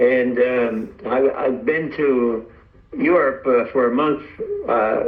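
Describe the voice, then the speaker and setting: A man with an American accent talks at a very slow pace, with audible room echo and noticeable background noise around him. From Florida, US. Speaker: radio amateur. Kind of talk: amateur radio net chat. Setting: radio net. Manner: halting.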